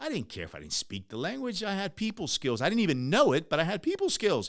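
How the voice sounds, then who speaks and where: A man with a high pitch, a Spanish accent and an animated tone. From US, Ecuadorian immigrant family. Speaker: podcast host, entrepreneur. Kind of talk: motivational podcast monologue. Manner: animated, conversational.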